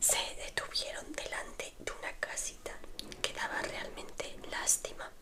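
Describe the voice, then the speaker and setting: A very slow whisper amid noticeable background noise. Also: woman. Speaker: ASMR creator. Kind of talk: read story. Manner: whispered.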